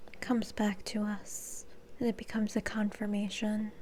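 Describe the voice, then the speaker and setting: A somewhat breathy, soft-spoken voice with a dark, mellow tone, a fairly slow pace and monotone, flat intonation. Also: woman. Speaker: reiki and energy healing practitioner. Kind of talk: ASMR energy healing session.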